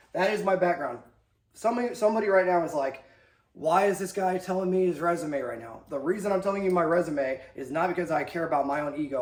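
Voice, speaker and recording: Speaking at a very fast pace, a man with a high pitch uses ordinary pitch variation, and audible room echo surrounds his voice. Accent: American. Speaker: army instructor and video host. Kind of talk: lecture. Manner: casual, animated.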